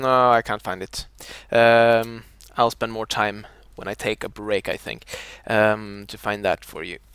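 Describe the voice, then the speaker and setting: Dry and close with no echo, a man's fairly low voice moves at a fairly slow pace with monotone, flat intonation and big swings in loudness. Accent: Scandinavian. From Scandinavia. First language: a Scandinavian language. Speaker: video game streamer. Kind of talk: live gameplay commentary. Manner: halting, many fillers.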